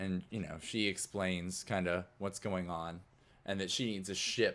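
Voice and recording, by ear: This man has a low-pitched voice with a fairly bright tone.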